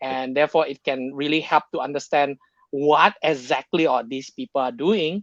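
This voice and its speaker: A man with an Indonesian accent speaks at a moderate pace, his fairly high pitch following fairly even intonation. The sound is dry and close with no echo, over a quiet background. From Indonesia, Jakarta. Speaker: tech sales professional. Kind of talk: podcast interview. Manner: halting, many fillers.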